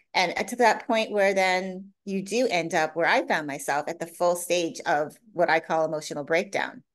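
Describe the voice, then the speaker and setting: A woman with a normal speaking voice talks at a moderate pace in a fairly low pitch with ordinary pitch variation against a quiet background. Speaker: coach. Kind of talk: interview.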